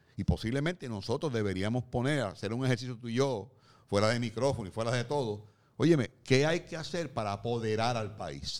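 In a very clean recording with a silent background, a man uses an ordinary speaking voice at medium pitch with ordinary pitch variation. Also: fairly quick pace. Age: 60s. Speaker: podcast co-host, columnist. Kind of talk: casual discussion.

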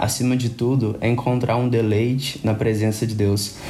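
Fairly slow speech from a man at medium pitch, audible room echo around it. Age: 20s. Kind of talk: casual chat about faith.

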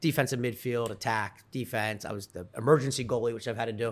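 On a very clean recording with a silent background, a man talks at a very fast pace in a medium pitch with ordinary pitch variation. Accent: Philadelphia. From Delaware County, Pennsylvania (near Philadelphia). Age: 40s. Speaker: tech startup CEO. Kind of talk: casual interview.

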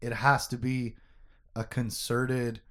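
Reading in an unforced voice

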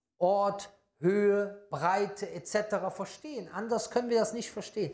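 A man's high-pitched voice at a very slow pace, on a very clean recording with a silent background. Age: 40s. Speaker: Islamic preacher. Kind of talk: religious lecture.

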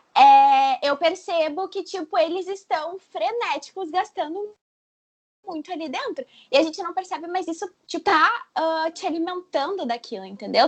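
A woman's extremely high-pitched voice with lively intonation. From southern Brazil. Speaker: blogger guest. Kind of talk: casual chat.

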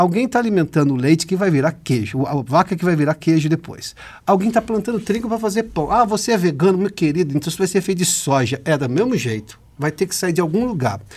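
A man with a high pitch talks at a very fast pace with lively intonation and hardly any pauses. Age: 40s. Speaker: interviewer. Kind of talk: interview.

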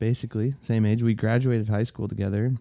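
Here a man talks at a fairly low pitch with a dark, mellow tone. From Minnesota and Iowa. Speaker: podcast co-host. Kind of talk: casual chat. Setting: home basement.

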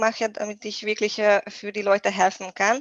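A woman speaks with a Hungarian accent. Her pitch is medium and her pace fairly slow. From Hungary. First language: Hungarian (speaking German). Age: 30s. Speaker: nutrition coach. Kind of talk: podcast interview. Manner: halting, many fillers.

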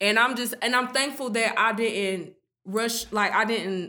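A woman speaks with ordinary pitch variation in a very clean recording with a silent background. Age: 20s. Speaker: small business owner. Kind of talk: casual chat.

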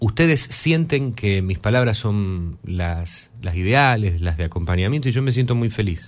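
Using lively intonation, a man speaks at a fairly low pitch and a fairly slow pace with hardly any pauses. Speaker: radio host. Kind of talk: live radio music show. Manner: hesitant with fillers.

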